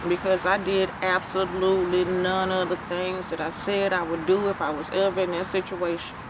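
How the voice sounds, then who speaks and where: Amid noticeable background noise, a woman speaks at a medium pitch and a moderate pace in a monotone, flat intonation with hardly any pauses. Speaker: survivor telling her story. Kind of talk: testimony.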